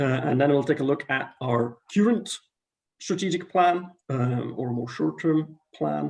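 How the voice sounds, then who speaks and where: Vocal fry from a man at a moderate pace. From Belgium. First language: not English. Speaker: international scouting committee member. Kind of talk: presentation on video call. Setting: video call.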